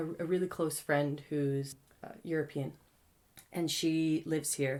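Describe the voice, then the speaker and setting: Fairly slow speech from a woman with a very deep, low pitch. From Canada. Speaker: spoken word poet. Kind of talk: interview answer.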